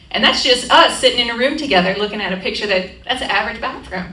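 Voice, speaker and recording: Raising and projecting her voice, a woman speaks amid noticeable background noise and audible room echo. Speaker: aging-in-place home safety specialist. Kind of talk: community presentation. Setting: room with live audience. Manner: fast; interactive, conversational.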